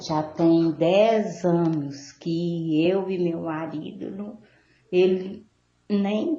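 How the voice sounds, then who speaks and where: A woman talks at a fairly low pitch with fairly even intonation. Room echo is audible. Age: 60s. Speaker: caller. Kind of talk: call-in question. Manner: halting.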